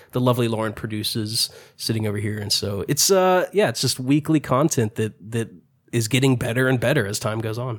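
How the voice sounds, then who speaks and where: A plain, everyday voice goes along at a fairly quick pace, its pitch varying in an ordinary way, in a very clean recording against a silent background. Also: man, medium pitch for a man. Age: 30s. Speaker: podcaster. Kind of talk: casual chat.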